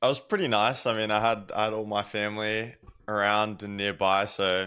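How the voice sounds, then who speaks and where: Speaking at a fairly quick pace, the voice carries an Australian accent. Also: man. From Australia, Sydney. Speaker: pro gamer. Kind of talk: podcast interview. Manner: casual, hesitant with fillers.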